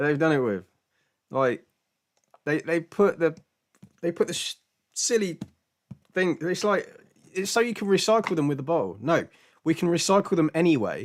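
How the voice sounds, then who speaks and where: A man with a British accent talks at a moderate pace with a high pitch and lively intonation. His speech has long, frequent pauses. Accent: British, glottal t. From Britain, mixed regions. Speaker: live-stream Q&A host, spiritual teacher. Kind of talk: casual chat. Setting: live stream. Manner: halting, many repetitions.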